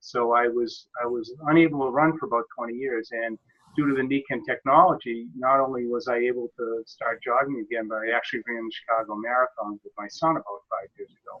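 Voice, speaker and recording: Speaking at a fairly quick pace with hardly any pauses, a man with a normal speaking voice holds a medium pitch and fairly even intonation while his loudness swings widely. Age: 60s. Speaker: software consultant and network marketer. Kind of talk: personal testimony in group web presentation.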